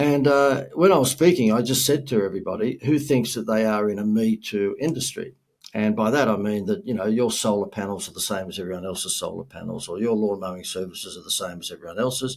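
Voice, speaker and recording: In an Australian accent, a man with a medium pitch talks at a very fast pace with lively intonation and hardly any pauses. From Australia, Gold Coast. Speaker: marketing speaker and entrepreneur. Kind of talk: podcast interview.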